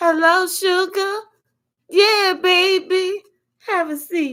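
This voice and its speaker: Using a put-on character voice, a woman talks at a very slow pace in an extremely high pitch. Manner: warm, affectionate.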